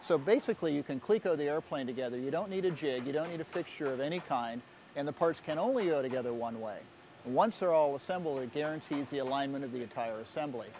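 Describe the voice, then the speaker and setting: The speech comes at a very fast pace. The sound is dry with no echo, over light background noise. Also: man. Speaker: magazine editor on a factory tour. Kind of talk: on-site report commentary. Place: factory. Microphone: lapel.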